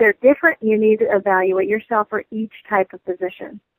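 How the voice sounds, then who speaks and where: Speaking with an American accent and an ordinary speaking voice, a woman of fairly high pitch moves at a fairly quick pace with ordinary pitch variation, in a dry, close sound with no echo. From US Midwest, Michigan. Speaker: human resources consultant and business lecturer. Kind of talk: interview.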